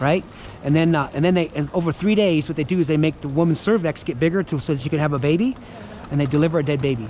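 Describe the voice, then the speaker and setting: Over noticeable background noise, a man races along at a very fast pace. His pitch is fairly high, with ordinary variation. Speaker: pro-life street activist. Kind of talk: street debate.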